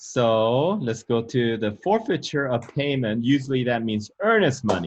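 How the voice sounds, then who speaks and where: A man with a non-native accent, medium pitch and fairly slow pace. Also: ordinary pitch variation. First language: not English. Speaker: real estate broker and channel host. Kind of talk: instructional interview.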